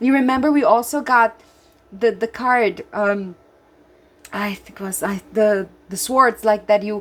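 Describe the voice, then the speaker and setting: A woman with a Brazilian Portuguese accent speaks at a fairly slow pace, her pitch fairly high. Her loudness swings widely, and she leaves long, frequent pauses. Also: ordinary pitch variation. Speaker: tarot reader. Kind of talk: tarot reading with guidebook passages. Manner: animated.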